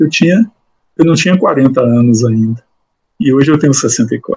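Dark and mellow in tone, the somewhat breathy voice moves at a very slow pace with ordinary pitch variation. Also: man, dry, close sound with no echo. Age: 60s. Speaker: law professor and judge. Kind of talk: interview. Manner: halting, many repetitions.

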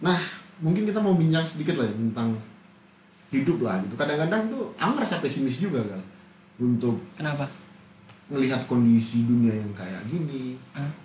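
A man at a medium pitch with very wide pitch swings and long, frequent pauses, with noticeable background noise and audible room echo. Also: fairly quick pace. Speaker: podcast host. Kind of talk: casual chat.

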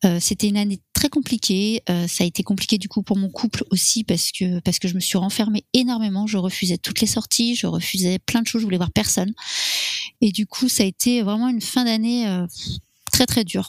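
The sound is dry and close with no echo as a woman speaks at a fairly quick pace and medium pitch, with fairly even intonation. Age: 40s. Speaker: interviewee sharing fertility story. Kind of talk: personal testimony. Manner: halting, many hesitations.

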